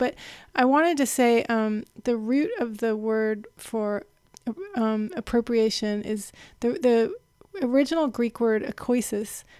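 A woman with a normal speaking voice talks at a fairly high pitch with ordinary pitch variation. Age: 40s. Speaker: textile and multimedia artist. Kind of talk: casual chat.

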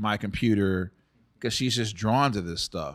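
A man with a normal speaking voice and fairly low pitch shows ordinary pitch variation on a very clean recording with a silent background. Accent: American. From Texas, San Antonio and Dallas. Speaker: tech founder and nonprofit head. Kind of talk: interview conversation. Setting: studio.

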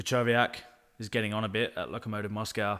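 On a very clean recording with a silent background, a man with a fairly low pitch talks at a fairly quick pace. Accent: Australian. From Australia. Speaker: football podcast co-host. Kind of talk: casual chat. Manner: animated.

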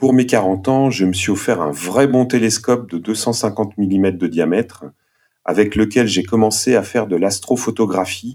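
A man's dark, mellow tone unfolds at a fairly slow pace. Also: fairly low pitch for a man, ordinary pitch variation. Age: 40s. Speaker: podcast team member and nurse. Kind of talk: casual chat, master of ceremonies.

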